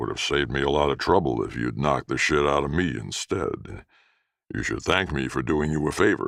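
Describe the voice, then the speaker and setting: In a put-on character voice, a man rumbles at a very deep, low pitch, fairly quick and with ordinary pitch variation. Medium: read story.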